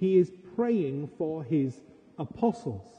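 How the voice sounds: A man talks slowly at a fairly high pitch with big pitch swings. His dark, mellow tone has a husky, rough edge.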